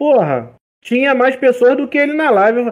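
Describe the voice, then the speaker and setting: A man talks at a moderate pace. His pitch is extremely high. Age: 20s. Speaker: gaming streamer and delivery courier. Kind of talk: casual chat.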